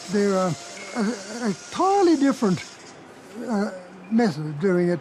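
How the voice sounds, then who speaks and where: Noticeable background noise accompanies a man with an Australian accent whose high voice has lively intonation. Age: 80s+. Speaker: sawmiller. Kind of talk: interview. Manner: halting.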